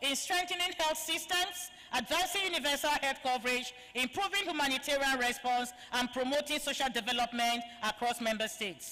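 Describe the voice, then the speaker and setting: A woman's high, raised and projected voice with lively intonation at a moderate pace, over noticeable background noise. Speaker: event moderator. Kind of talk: formal introduction of speakers. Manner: formal.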